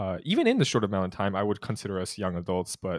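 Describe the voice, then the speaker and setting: Fairly low in pitch and fairly quick, a man talks in an ordinary speaking voice. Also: very clean recording, silent background. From California, US; born in Utah. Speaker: student podcast host. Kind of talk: interview conversation. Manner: casual, laughs often.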